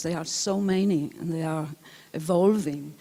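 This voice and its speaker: The speaker has an Italian accent and a moderate pace. The intonation stays fairly even. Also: woman. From Italy. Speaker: film historian, lecturer. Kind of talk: lecture. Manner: halting, many fillers.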